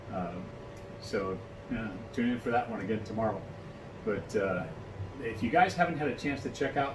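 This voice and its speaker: A man's fairly quick speech over noticeable background noise. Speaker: vlogger. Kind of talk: casual vlog chat. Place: home room. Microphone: phone near.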